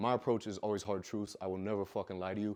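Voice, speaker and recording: Over a quiet background, a man with an American accent talks at a very fast pace. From Iowa, US Midwest. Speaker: fitness coach, conference speaker. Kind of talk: motivational talk on stage. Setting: stage with audience. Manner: loud.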